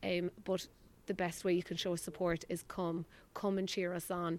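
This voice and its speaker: A woman with an Irish accent speaks in a fairly low voice with flat, monotone intonation. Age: 30s. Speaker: ladies Gaelic footballer. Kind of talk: post-match interview.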